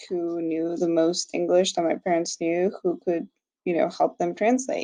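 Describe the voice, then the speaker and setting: Her voice sits fairly low. This woman talks with a Spanish accent. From Mexico. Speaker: graduate student. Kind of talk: class discussion. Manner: hesitant, many fillers.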